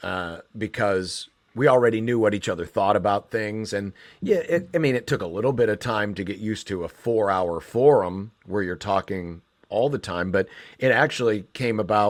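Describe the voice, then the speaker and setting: A man with an American accent has a normal speaking voice, fairly low in pitch with ordinary pitch variation, at a moderate pace. The recording is very clean, with a silent background. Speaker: sports radio host and play-by-play announcer. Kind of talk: interview answer.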